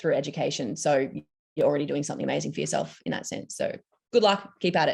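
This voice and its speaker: With an Australian accent, a woman talks against a quiet background. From Australia, Victoria. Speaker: psychology student panelist. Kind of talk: panel discussion.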